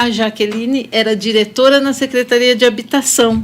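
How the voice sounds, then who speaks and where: A woman's high voice at a fairly slow pace, with noticeable background noise. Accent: São Paulo interior. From Brazil, Limeira (São Paulo interior). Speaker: architect. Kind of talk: podcast interview.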